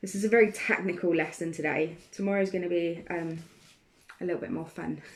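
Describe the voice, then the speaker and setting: A woman with a British accent, fairly low-pitched, at a fairly quick pace. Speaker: art teacher. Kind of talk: live online art tutorial. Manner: casual, hesitant with many ums.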